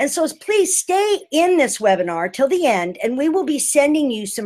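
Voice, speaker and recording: Her pitch swings very widely from moment to moment. The woman keeps a moderate pace. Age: 60s. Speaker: healing arts teacher and retreat leader. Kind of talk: webinar presentation. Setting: online webinar.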